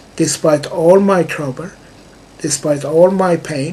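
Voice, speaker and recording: Slowly and with fairly even intonation, a man speaks with a slight non-native accent. Noticeable background noise runs underneath. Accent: slight foreign accent in English. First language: not English. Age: 60s. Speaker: music composer, vlogger. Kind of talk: personal video monologue. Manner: halting, with many fillers.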